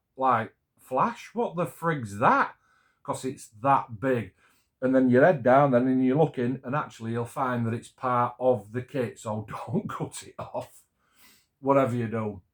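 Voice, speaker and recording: A man with a Yorkshire accent at medium pitch and a fairly slow pace, with ordinary pitch variation, on a very clean recording with a silent background. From Yorkshire, England. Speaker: scale model builder. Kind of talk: casual talk to camera.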